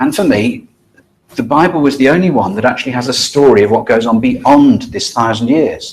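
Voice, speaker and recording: With lively intonation, a man speaks at a moderate pace in a fairly high voice. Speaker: lay preacher. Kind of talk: lecture. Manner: halting.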